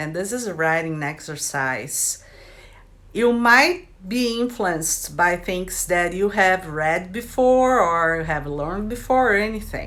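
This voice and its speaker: A woman with a Brazilian accent at medium pitch and a fairly slow pace, with lively intonation, a bright, sharp tone and audible room echo. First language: Brazilian Portuguese. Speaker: writer and video creator. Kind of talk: casual vlog introduction.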